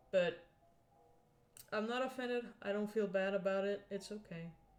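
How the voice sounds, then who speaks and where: A woman talks at a fairly slow pace. Behind her, music can be heard. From Scandinavia. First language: a Scandinavian language. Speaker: streamer and digital artist. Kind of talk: casual live stream chat while drawing.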